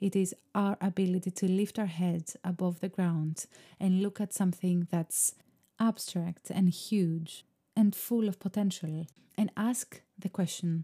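A woman's calm, somewhat breathy voice in a Greek accent, medium in pitch with a dark, mellow tone, monotone, flat intonation, a fairly slow pace and a dry, close sound with no echo. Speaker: podcast host, artist. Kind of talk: solo podcast monologue. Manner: reflective, calm.

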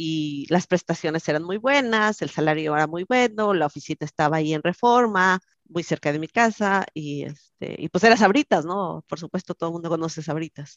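A woman with a fairly low pitch and a normal speaking voice, ordinary pitch variation and a moderate pace, in a dry, close sound with no echo against a quiet background. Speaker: software engineer. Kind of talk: interview.

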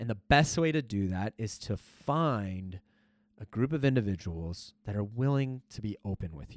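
In a plain, everyday voice, a man speaks at a moderate pace with fairly low pitch and lively intonation, the sound dry and close with no echo. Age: 30s. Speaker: US Marine, scout sniper. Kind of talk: casual interview.

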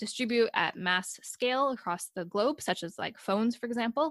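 A woman with a General American accent speaks in an unremarkable speaking voice at a moderate pace, her pitch varying an ordinary amount, on a very clean recording with a silent background. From United States. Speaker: PhD researcher, podcast host. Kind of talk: interview conversation.

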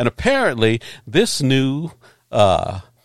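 The recording is very clean and the background silent. A man's intonation is lively. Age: 60s. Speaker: podcast host. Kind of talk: casual chat. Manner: animated.

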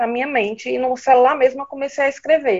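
Talking at a moderate pace, a woman uses a high pitch with ordinary variation. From Ceará, northeastern Brazil. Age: 30s. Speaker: writer and nurse. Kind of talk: interview conversation.

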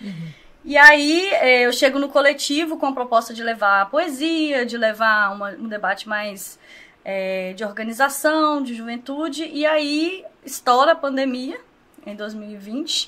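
Using a raised, projected voice with big swings in loudness, a woman speaks at a fairly slow pace, her high pitch rising and falling with lively intonation. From Brazil, Governador Valadares (Minas Gerais). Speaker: social project leader. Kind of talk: casual interview.

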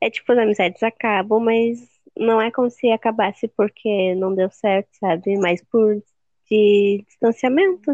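Speaking fairly slowly, a woman uses a plain, everyday voice with fairly high pitch and ordinary pitch variation. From Rio Grande do Sul, Brazil. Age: 19. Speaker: podcast co-host. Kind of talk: casual chat.

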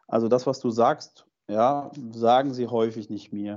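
Using an ordinary speaking voice, a man talks fairly slowly with ordinary pitch variation. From Germany, Fulda (eastern Hesse). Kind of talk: interview.

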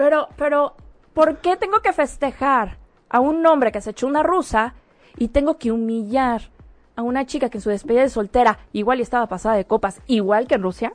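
A woman with a high pitch and lively intonation speaks at a fairly quick pace in a dry, close sound with no echo. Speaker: guest co-host. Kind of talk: casual chat.

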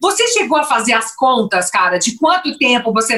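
A woman speaks at a moderate pace in an unremarkable speaking voice. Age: 50s. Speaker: podcast host, former restaurateur. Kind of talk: interview.

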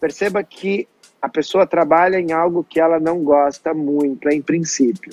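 A man with an ordinary speaking voice, fairly high-pitched, at a fairly slow pace. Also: fairly even intonation. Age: 30s. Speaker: personal development coach and show host. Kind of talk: interview conversation.

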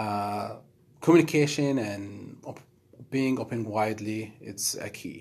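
With an Arabic accent, a man speaks at medium pitch and ordinary pitch variation. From Middle East. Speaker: project manager. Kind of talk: casual interview chat.

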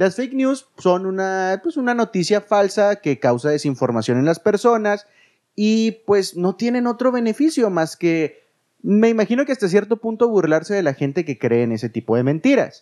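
Against a quiet background, a man with a high voice sounds animated, his pitch swinging very widely. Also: moderate pace. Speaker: podcast co-host, former radio host. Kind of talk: casual chat.

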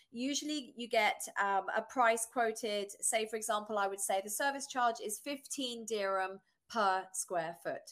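Fairly slow speech from a woman in a British accent. Her pitch variation is ordinary. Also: fairly high pitch for a woman. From southern England. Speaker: real estate agent. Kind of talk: casual interview chat.

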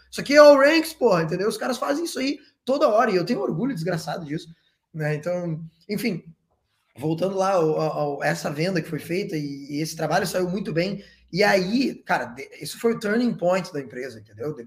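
This man's pitch swings very widely and sits high. He talks at a fairly quick pace. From southern Brazil, Porto Alegre. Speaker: entrepreneur, events business founder. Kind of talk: casual interview chat.

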